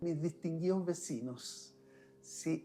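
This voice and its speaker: Speaking at a very slow pace, a man has a high pitch and a dark, mellow tone. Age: 70s. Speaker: winemaker. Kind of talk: interview.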